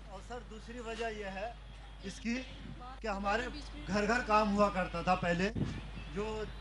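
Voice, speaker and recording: There is audible room echo and noticeable background noise as a man speaks in a high pitch with fairly even intonation. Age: 60s. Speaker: artisan. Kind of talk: public question to politician.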